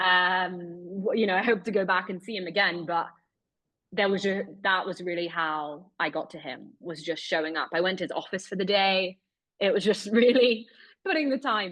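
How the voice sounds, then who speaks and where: With a British accent, a woman speaks at a moderate pace and medium pitch, showing ordinary pitch variation and big swings in loudness against a quiet background. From Britain. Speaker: investigative journalist. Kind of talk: webinar interview.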